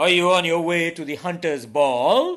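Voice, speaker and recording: In a put-on character voice, a man growls at a high pitch. He keeps a moderate pace. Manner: growling.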